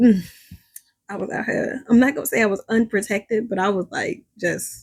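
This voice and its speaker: Somewhat breathy speech at a moderate pace with ordinary pitch variation. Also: woman, fairly high pitch for a woman. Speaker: spiritual reader, channel host. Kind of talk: casual monologue to viewers. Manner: casual, filler-heavy.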